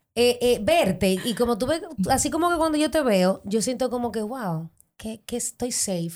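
The pace is moderate. Intonation is lively throughout. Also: woman, high pitch for a woman. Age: 30s. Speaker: model. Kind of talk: interview. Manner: animated.

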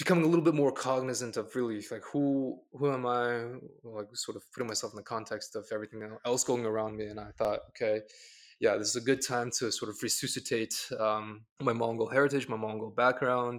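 On a very clean recording with a silent background, a man talks at a fairly quick pace, his medium-pitched voice keeping a fairly even intonation. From Mongolia, raised in Boston area, US. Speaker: graduate student. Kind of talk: casual interview. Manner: halting, many fillers.

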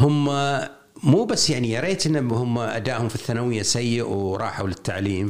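Lively intonation in a Kuwaiti accent. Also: man. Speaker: education consultant and writer. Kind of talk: interview.

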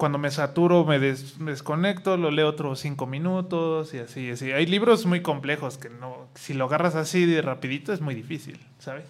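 This man has a normal speaking voice, fairly high in pitch, with ordinary pitch variation. He keeps a moderate pace with hardly any pauses. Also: big swings in loudness. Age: 30s. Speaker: IT consultant. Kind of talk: casual chat.

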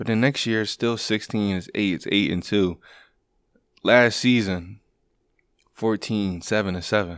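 Against a quiet background, a man with a fairly low pitch speaks at a fairly slow pace with fairly even intonation and long, frequent pauses. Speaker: sports podcast host. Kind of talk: solo sports commentary monologue.

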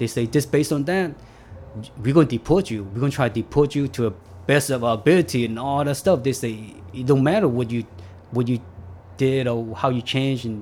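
A man has an ordinary speaking voice at a medium pitch. He talks at a fairly quick pace with ordinary pitch variation. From US, California; immigrated from Vietnam at age eight. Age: 40s. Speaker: formerly incarcerated immigrant facing deportation. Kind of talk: interview testimony.

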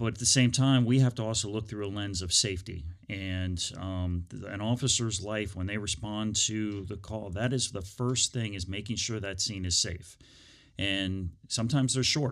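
Recorded very cleanly against a silent background, a man with an American accent speaks at a moderate pace. He has an unremarkable speaking voice, a fairly low pitch, and ordinary pitch variation. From Northern Virginia, US. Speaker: police chief. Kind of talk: interview. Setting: studio.

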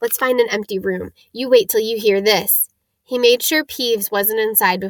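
The background stays quiet. What we hear is an unforced reading voice.

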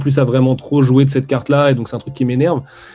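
A man with a dark, mellow tone and a medium pitch talks at a very fast pace. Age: 30s. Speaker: comics editor. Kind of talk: casual interview. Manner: hesitant, many fillers.

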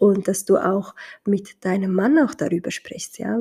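A woman's medium-pitched, somewhat breathy voice, dark and mellow in tone, with ordinary pitch variation and a Somali accent. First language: Somali (speaking German). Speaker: podcaster mother. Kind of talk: casual monologue. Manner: hesitant, many fillers.

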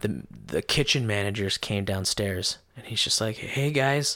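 A man with a plain, everyday voice, an American accent, fairly low pitch and ordinary pitch variation. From Idaho (Caldwell). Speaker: stand-up comedian. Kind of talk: casual chat.

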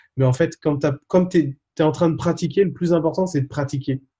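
Somewhat breathy and dark, mellow in tone, a man's voice moves at a moderate pace. His intonation stays fairly even. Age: 30s. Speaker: fitness coach and travel vlogger. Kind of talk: interview about travel.

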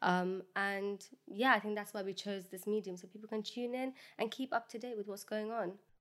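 A woman with a London accent talks at a moderate pace with fairly even intonation. Her loudness swings widely. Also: medium pitch for a woman. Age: 20s. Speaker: podcast co-host. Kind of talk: casual chat.

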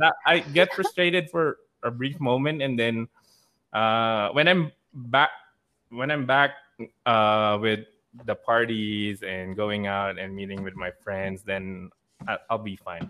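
Speaking very slowly at a medium pitch, a man uses lively intonation and long, frequent pauses. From Philippines, Manila. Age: 30s. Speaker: nurse. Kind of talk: casual chat. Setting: video call.

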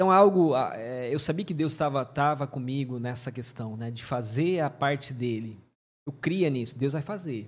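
A man with an ordinary speaking voice talks at medium pitch and a moderate pace, with ordinary pitch variation. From Mato Grosso do Sul, Brazil (Paraguay border). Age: 40s. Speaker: pastor. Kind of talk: testimony.

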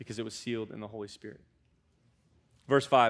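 A man with an American accent talks on a very clean recording against a silent background. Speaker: student pastor. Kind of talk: sermon. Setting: church. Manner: casual, conversational, animated.

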